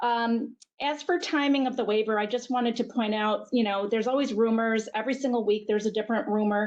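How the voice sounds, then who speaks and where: Against a quiet background, a woman with a fairly high pitch talks at a very fast pace, with hardly any pauses, very even loudness and fairly even intonation. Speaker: healthcare network executive. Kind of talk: webinar presentation.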